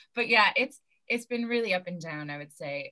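With an American accent, a woman with a plain, everyday voice talks at a fairly quick pace, her medium pitch carrying lively intonation. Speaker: stand-up comedian and actor. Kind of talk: casual interview chat.

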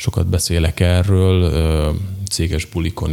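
This man's pitch is very deep and low. He speaks at a moderate pace with ordinary pitch variation. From southern Slovakia, Hungarian minority (Nagykapos). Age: 30s. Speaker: entrepreneur, company director. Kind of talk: interview. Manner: halting, with frequent repetitions.

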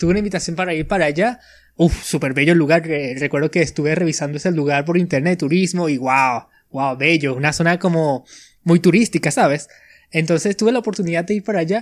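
The speech moves very fast, its pitch varying in a normal way. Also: man, high pitch for a man, very clean recording, silent background. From Venezuela. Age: 20s. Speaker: podcaster. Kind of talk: casual chat.

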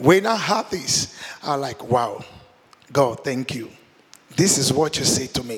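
Amid noticeable background noise, a man speaks slowly in a fairly high voice with lively intonation and long, frequent pauses. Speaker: guest preacher. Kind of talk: sermon. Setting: church. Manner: restrained, not shouting.

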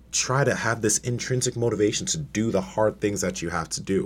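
A man's voice with vocal fry. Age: 20s. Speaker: bodybuilder and powerlifter, online fitness coach. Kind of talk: casual interview chat. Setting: studio.

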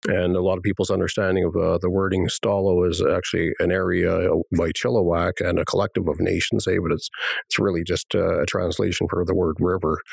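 A man talks at a fairly quick pace in a very deep, low pitch. His intonation is monotone and flat, and his loudness stays very even. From British Columbia, Canada, Coast Salish First Nation. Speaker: elected First Nation chief. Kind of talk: interview. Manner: halting, many fillers.

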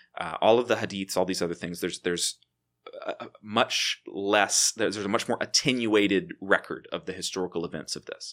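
This man has a plain, everyday voice, with ordinary pitch variation and a fairly quick pace. The recording is very clean with a silent background and a dry, close sound with no echo. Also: fairly low pitch for a man. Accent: American. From Texas, Waco. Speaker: theology professor. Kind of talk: casual chat.

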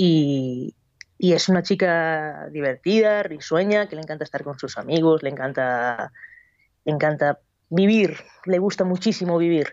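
Speaking at a fairly slow pace, a woman with a plain, everyday voice has a fairly low pitch and ordinary pitch variation. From Basque Country, Spain. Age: 20s. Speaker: novelist and cook. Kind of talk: radio interview. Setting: Skype call.

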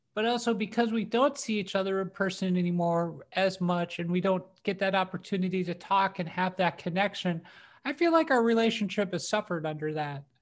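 An unremarkable speaking voice moves at a fairly quick pace with ordinary pitch variation and hardly any pauses. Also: woman, medium pitch for a woman. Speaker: podcast co-host comedian. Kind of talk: casual chat.

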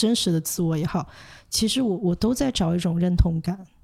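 The recording is very clean with a silent background. A woman speaks in a dark, mellow, somewhat breathy voice at a fairly low pitch. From Hong Kong and mainland China. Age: 20s. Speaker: social worker and counsellor. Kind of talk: interview. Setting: studio. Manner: halting, many fillers.

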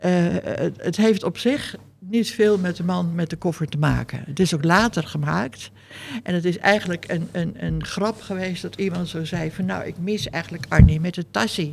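A woman speaks at a moderate pace in a fairly low pitch with ordinary pitch variation. Her voice has vocal fry. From Netherlands. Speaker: sculptor. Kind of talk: interview. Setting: artists' residence.

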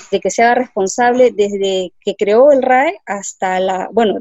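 This is a woman with a Peruvian accent. Her pitch varies in an ordinary way. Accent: Peruvian Spanish (Lima). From Peru, Lima. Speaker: environmental engineer. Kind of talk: interview. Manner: hesitant, many fillers.

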